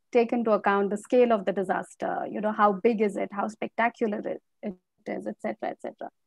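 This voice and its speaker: A woman's fairly quick speech with vocal fry, ordinary pitch variation and big swings in loudness, in a dry sound with no echo over a quiet background. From Assam, India. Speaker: academic, disaster researcher; speaker. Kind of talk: panel discussion. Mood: thoughtful, earnest. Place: home room. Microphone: earbuds.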